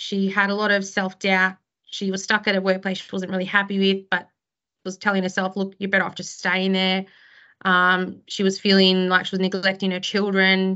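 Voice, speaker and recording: Fairly quick speech in an Australian accent, monotone and flat in intonation. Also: woman. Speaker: criminal lawyer and law firm director. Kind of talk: interview conversation. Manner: chatty, extroverted.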